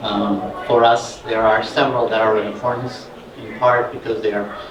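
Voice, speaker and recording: A man speaks at a moderate pace and medium pitch, with audible room echo and noticeable background noise. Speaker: scientist. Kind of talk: conference presentation. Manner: loud; hesitant with fillers.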